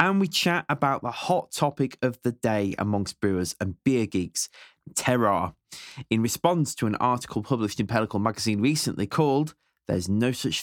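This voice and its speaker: With a British accent and lively intonation, a man is heard in a very clean recording with a silent background. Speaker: podcast host. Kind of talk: interview chat.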